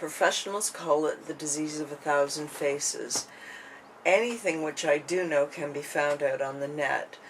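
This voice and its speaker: A woman mumbles at a moderate pace with a very deep, low pitch and ordinary pitch variation. Noticeable background noise runs under her. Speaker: vlogger sharing her illness. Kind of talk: personal vlog monologue. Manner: halting, many fillers; mumbling.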